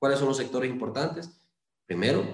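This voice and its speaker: A man's voice comes across somewhat breathy. Audible room echo surrounds it. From Honduras, Lempira (Valladolid). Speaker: lawyer and parliamentary candidate. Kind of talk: interview. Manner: hesitant, many fillers.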